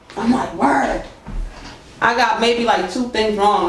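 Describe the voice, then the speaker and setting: A man with an American accent speaks at a moderate pace in an animated tone with ordinary pitch variation, with audible room echo and noticeable background noise. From Boston. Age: 30s. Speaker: musician. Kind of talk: interview. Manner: casual, animated.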